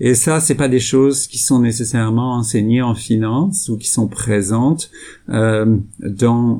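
At a very slow pace, a man speaks in a dark, mellow tone with ordinary pitch variation. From France. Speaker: sustainable investment executive. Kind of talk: interview. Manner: hesitant, many fillers.

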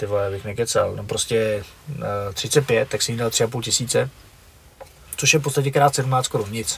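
With a Moravian accent, a man speaks at a moderate pace and a medium pitch. His pitch varies in an ordinary way, and there is noticeable background noise. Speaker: former kickboxer and fight organizer. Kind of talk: casual chat.

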